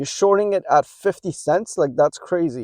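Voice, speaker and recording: Delivered at a moderate pace, the speech has lively intonation and a dry, close sound with no echo. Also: man. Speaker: stock market youtuber. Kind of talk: casual vlog commentary. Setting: in a car. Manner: loud; halting, many fillers.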